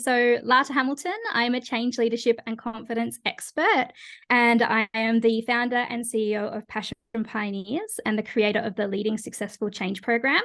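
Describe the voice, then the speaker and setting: Speaking at a moderate pace, a woman with an Australian accent uses a fairly high pitch and ordinary pitch variation. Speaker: change leadership consultant and coach. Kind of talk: podcast interview.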